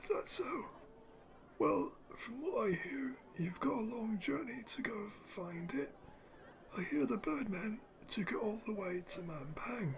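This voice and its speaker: A man puts on a gravelly, raspy character voice at a high pitch with very wide pitch swings. He talks at a fairly slow pace with long, frequent pauses over light background noise. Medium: solo performance. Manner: sly, rustic.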